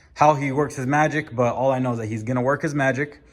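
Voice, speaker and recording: Shaky and very fast, a man talks at a medium pitch. His intonation is fairly even. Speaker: car enthusiast vlogger. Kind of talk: casual vlog. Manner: halting.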